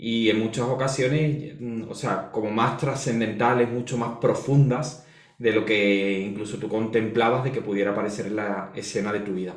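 A man with a Spanish accent talks amid noticeable background noise and audible room echo. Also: medium pitch for a man, ordinary pitch variation, moderate pace. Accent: Peninsular Spanish. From Spain. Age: 40s. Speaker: astrologer and holistic therapist. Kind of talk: interview, life story.

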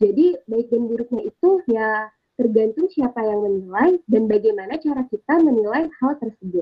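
A woman at a moderate pace, high in pitch, with lively intonation. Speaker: university student. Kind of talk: casual discussion.

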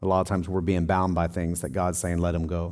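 Over a very clean recording with a silent background, a man with a Southern US accent speaks in a very deep, low pitch. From Tennessee. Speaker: pastor. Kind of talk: sermon. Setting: church.

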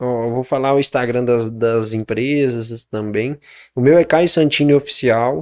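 Using an ordinary speaking voice, a man talks at a medium pitch and fairly slow pace with ordinary pitch variation, in a very clean recording with a silent background. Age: 20s. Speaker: entrepreneur. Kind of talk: interview.

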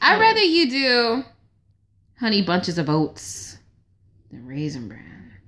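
Against a quiet background, a woman speaks at a moderate pace with vocal fry and very wide pitch swings. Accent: American. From Georgia, US (Stone Mountain). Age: 20s. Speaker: software engineer. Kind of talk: casual chat. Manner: animated.

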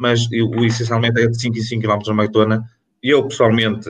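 A man talks at medium pitch in a monotone, flat intonation. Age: 40s. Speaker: athletics coach, former international runner. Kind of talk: panel discussion.

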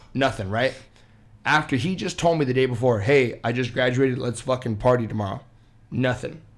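On a very clean recording with a silent background, a man speaks fairly quickly in a plain, everyday voice at medium pitch with ordinary pitch variation. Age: 20s. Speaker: podcast guest, friend of host. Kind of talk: casual chat.

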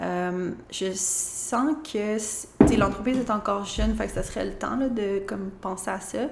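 A woman speaks at a very slow pace with hardly any pauses, with noticeable background noise and audible room echo. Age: 30s. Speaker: interior designer and business owner. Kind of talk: interview.

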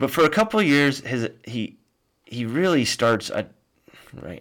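The voice has an animated tone and lively intonation at a moderate pace, on a very clean recording with a silent background. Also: man. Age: 40s. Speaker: podcast host. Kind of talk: solo history lecture. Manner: many fillers.

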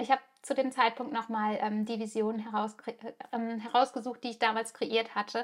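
With long, frequent pauses, a woman speaks at a moderate pace in a fairly high, monotone, flat voice. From Germany. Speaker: podcast host. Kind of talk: personal storytelling monologue. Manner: hesitant with frequent fillers.

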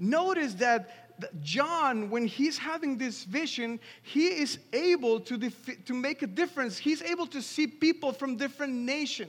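A man with a Spanish accent, an extremely high pitch and lively intonation, at a fairly slow pace over noticeable background noise. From Mexico City, Mexico. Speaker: pastor. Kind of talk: sermon. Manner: halting, frequent repetitions.

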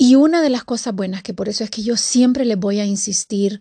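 Somewhat breathy and dark, mellow in tone, the voice moves at a moderate pace with a dry, close sound with no echo against a quiet background. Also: woman. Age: 50s. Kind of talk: devotional talk. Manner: casual and conversational.

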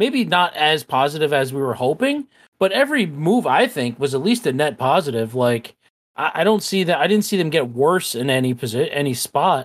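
A man speaks in a normal speaking voice at a fairly high pitch, with lively intonation and a fairly quick pace. The recording is very clean, with a silent background. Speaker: podcast co-host. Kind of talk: casual chat.

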